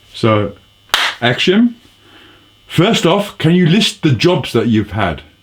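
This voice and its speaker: A man with a fairly high pitch and very wide pitch swings at a very slow pace, with noticeable background noise. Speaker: interviewer. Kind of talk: interview.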